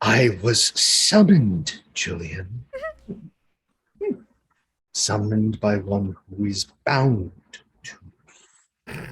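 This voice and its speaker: A man uses a put-on character voice, pitched fairly low. He speaks at a very slow pace with long, frequent pauses. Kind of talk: archaic, formal. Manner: menacing, ominous.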